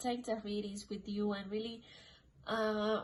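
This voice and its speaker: Speaking with a non-native accent, a woman has a fairly high pitch. Her voice is somewhat breathy and fairly slow. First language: not English. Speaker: tarot card reader. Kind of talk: tarot reading monologue. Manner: casual, filler-heavy.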